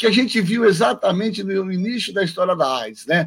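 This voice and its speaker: The speaker is a man. His pitch is high. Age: 50s. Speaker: infectious disease doctor. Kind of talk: radio interview.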